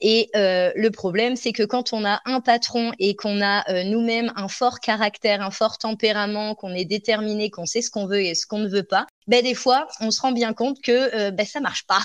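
In an ordinary speaking voice, a woman with a fairly high pitch speaks at a moderate pace with fairly even intonation and hardly any pauses, in a dry, close sound with no echo. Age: 30s. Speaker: dog trainer and business coach. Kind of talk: interview.

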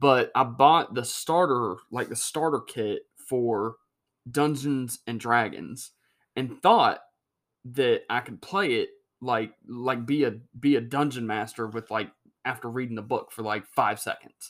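A man with an American accent speaks in a normal speaking voice at a medium pitch with ordinary pitch variation. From North Carolina. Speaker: podcast host. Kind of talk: casual chat.

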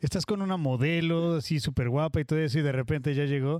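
A man's fairly high pitch at a very fast pace, with ordinary pitch variation. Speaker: podcast host. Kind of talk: casual chat.

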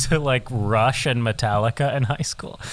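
A man with a medium pitch and ordinary pitch variation speaks in a plain, everyday voice. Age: 20s. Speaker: musician. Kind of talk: casual chat.

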